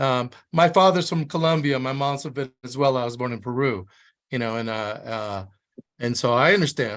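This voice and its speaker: Over a quiet background, a man with an American accent and an ordinary speaking voice talks at a moderate pace, his medium pitch varying in an ordinary way. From Miami, Florida. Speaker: high school English teacher. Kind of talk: casual chat.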